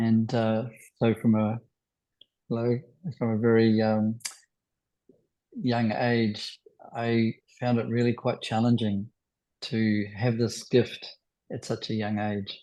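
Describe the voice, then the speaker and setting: A man with a New Zealand accent, medium pitch, and a dark, mellow tone, monotone and flat, at a very slow pace with long, frequent pauses. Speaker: spiritual healer. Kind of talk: talk to online group. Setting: video call.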